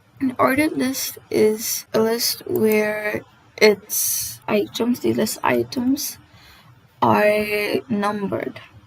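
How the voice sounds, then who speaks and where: A woman speaking at a very slow pace amid noticeable background noise. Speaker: coding tutorial host. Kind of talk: casual tutorial narration. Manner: stammers often.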